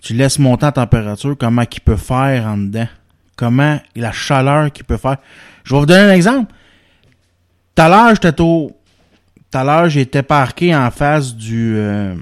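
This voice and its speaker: In a Quebec accent, a man speaks at medium pitch and a moderate pace with lively intonation. He leaves long, frequent pauses, and the sound is dry and close with no echo. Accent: Quebec French, informal joual. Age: 30s. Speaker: podcast host. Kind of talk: casual chat.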